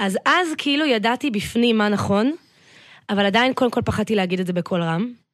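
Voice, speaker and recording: A woman with an ordinary speaking voice talks at a fairly high pitch and a fairly quick pace. Her intonation is lively and her loudness very even. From Israel, north Tel Aviv. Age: 30s. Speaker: business coach. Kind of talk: podcast interview.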